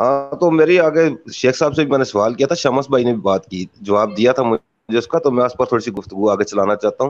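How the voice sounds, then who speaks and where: With lively intonation, a man talks at a moderate pace over light background noise. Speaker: questioner in debate; questioner. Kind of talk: religious debate. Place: home room. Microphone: video call.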